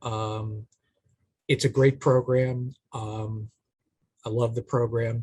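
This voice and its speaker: With a Boston accent, a man speaks very slowly in a somewhat breathy, medium-pitched, flat monotone, leaving long and frequent pauses, the sound dry and close with no echo. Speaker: AmeriCorps program manager, panelist. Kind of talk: career panel talk.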